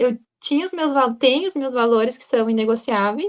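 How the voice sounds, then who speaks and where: Here a woman speaks at a high pitch. Her pace is moderate. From southern Brazil, Rio Grande do Sul. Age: 20s. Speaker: student sharing personal story. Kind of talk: personal testimony.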